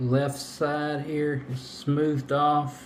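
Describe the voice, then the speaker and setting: A man mumbles his words. Noticeable background noise sits behind him. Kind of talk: DIY repair tutorial talk. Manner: mumbling, low volume; casual, hesitant.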